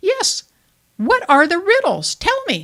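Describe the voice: A put-on character voice, squeaky and extremely high in pitch. It moves at a fairly slow pace.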